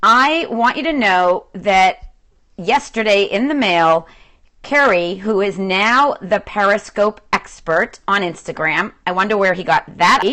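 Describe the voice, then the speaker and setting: With a slight Boston accent, a woman speaks very slowly in a bright, sharp tone with lively intonation. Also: medium pitch for a woman. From Boston, Massachusetts. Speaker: social media coach. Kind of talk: live-stream talk to viewers. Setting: at home, livestream. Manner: animated.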